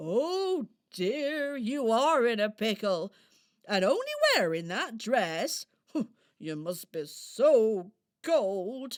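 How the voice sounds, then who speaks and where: A woman does a put-on character voice, fairly high in pitch and swinging very widely up and down. She speaks at a very slow pace with long, frequent pauses. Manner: gentle, fussing.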